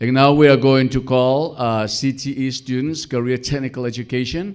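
A man talks at a moderate pace and medium pitch in a clear, smooth tone with fairly even intonation. The recording is very clean, with a silent background.

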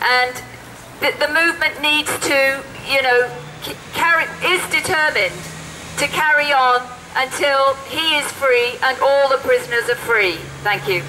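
A woman uses a raised, projected voice at a high pitch with ordinary pitch variation and very even loudness. She goes at a fairly slow pace with long, frequent pauses over light background noise. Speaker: activist. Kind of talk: rally speech. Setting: outdoor protest. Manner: impassioned, urgent, emphatic. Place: street. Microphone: handheld.

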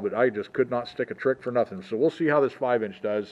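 A man rattles along at a very fast pace with fairly even intonation. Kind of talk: casual vlog chat. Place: open country. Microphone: phone near.

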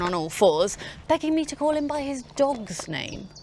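A woman's dry voice with no echo, set against noticeable background noise. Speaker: actor playing a spy character. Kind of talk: scripted comic monologue to camera. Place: garden. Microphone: lapel.

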